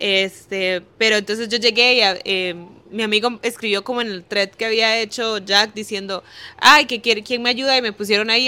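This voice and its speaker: A woman speaks at a fairly high pitch in a bright, sharp tone. Her pace is fairly quick and her intonation fairly even. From Costa Rica, Guanacaste. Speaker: bitcoin marketing and PR professional. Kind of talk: casual interview. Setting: in person in El Salvador.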